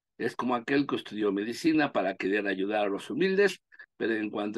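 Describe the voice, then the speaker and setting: The sound is dry and close, free of echo, over a quiet background. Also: man. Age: 60s. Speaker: law professor. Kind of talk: lecture. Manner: halting.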